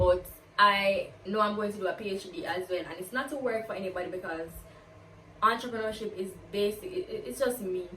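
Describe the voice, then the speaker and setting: A woman talks at a fairly quick pace, her loudness swinging widely. Noticeable background noise runs underneath. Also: medium pitch for a woman, ordinary pitch variation. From Jamaica, Kingston. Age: 20s. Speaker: university student and vlogger. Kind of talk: get-to-know-me Q&A vlog. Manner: animated.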